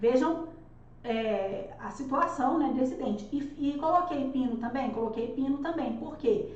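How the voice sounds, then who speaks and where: Loud and high-pitched, a woman speaks with lively intonation through noticeable background noise and audible room echo. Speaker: dentist teaching dental courses. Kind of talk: live online lecture.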